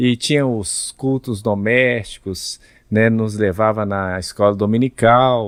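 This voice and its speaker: The delivery has fairly even intonation and a very slow pace. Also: man, medium pitch for a man. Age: 60s. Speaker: pastor and Bible narrator. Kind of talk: podcast interview.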